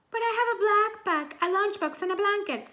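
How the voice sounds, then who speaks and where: A woman does a put-on character voice, squeaky and extremely high in pitch. She talks at a fairly quick pace. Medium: read story. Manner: earnest, eager.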